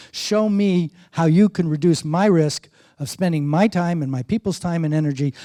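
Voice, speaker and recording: A man with an American accent has a fairly high pitch, ordinary pitch variation and a dark, mellow tone, recorded dry and close with no echo on a very clean track with a silent background. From New York. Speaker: wine marketing consultant. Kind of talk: conference talk. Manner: fast.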